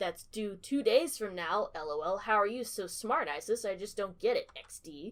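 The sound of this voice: Here is a reading voice. It sounds unforced.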